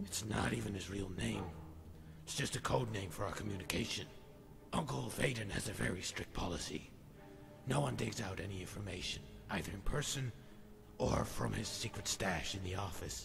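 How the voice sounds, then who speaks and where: A man's put-on character voice, very deep and low in pitch, at a moderate pace with long, frequent pauses over loud background noise. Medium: game stream. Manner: guarded, secretive.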